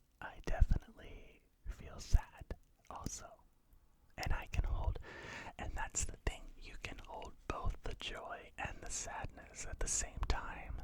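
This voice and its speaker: A man whispers very slowly with an American accent. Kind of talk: ASMR talk to camera. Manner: whispered, soft-spoken.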